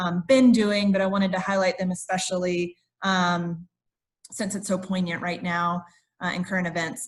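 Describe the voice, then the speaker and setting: A woman's somewhat breathy voice. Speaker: diversity recruiter for a federal agency. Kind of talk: conference presentation.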